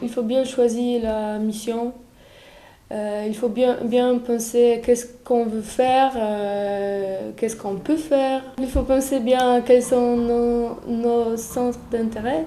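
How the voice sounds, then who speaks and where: Someone with a Polish accent speaks very slowly in a dark, mellow tone. The intonation is flat and monotone, and room echo can be heard. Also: woman, high pitch for a woman. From Poland. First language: Polish (speaking French). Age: 20s. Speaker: European volunteer. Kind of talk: testimony. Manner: halting, many hesitations.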